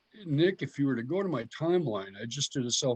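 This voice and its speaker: With a plain, everyday voice, a man speaks at a fairly quick pace and a medium pitch with lively intonation, in a dry, close sound with no echo against a quiet background. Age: 60s. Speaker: herpetologist and biologist. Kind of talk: casual interview chat.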